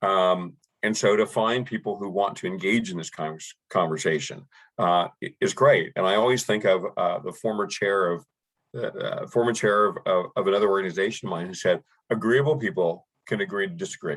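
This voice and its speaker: Here a man talks with a Canadian accent. His pace is fairly quick. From Canada. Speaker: nonprofit director leading a community talk. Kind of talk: moderated video call presentation. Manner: halting, many repeated words.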